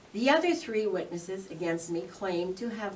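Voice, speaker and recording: Woman's voice amid noticeable background noise and audible room echo. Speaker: township councillor. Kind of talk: prepared statement at council meeting. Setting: council meeting. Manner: loud.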